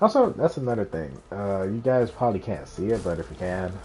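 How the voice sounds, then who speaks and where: Noticeable background noise accompanies speech that has ordinary pitch variation. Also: man. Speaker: gaming streamer. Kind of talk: live gameplay commentary. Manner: quiet at times while focused.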